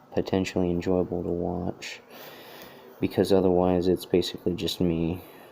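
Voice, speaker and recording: A man mumbles in a very deep, low voice with a dark, mellow tone. His intonation stays monotone and flat. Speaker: artist drawing a hat design. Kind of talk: live tutorial commentary while drawing. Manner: mumbling; halting, many fillers.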